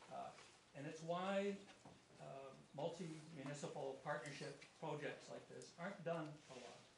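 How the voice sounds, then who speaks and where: A man speaks at a fairly slow pace and fairly high pitch with fairly even intonation, big swings in loudness and long, frequent pauses, in a room with audible echo. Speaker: municipal staff presenting to council. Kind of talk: formal report presentation at council meeting. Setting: council chamber meeting. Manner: halting, many fillers and repetitions.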